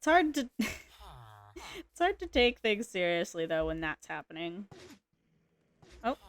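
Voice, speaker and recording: A woman speaks quietly at a very slow pace, with long, frequent pauses. The sound is dry and close, with no echo. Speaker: gaming streamer. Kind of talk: casual live-stream commentary. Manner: quiet, low-key.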